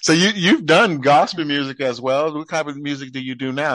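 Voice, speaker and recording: This man talks at a fairly quick pace with ordinary pitch variation. He has a plain, everyday voice. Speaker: podcast host. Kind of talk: casual interview. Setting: phone call.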